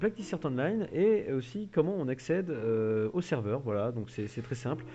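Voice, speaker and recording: A man at a medium pitch talks at a fairly slow pace with very wide pitch swings. Music plays in the background. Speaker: gaming youtuber. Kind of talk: tutorial.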